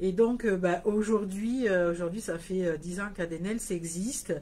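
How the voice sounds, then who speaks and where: A woman speaks in a slight southern French accent at a moderate pace, her fairly low voice somewhat breathy with a dark, mellow tone. Her pitch variation is ordinary, and audible room echo surrounds her. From southern France, Hérault (34). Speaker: nail products business owner. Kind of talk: live stream talk. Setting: Facebook live video. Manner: hesitant, many fillers.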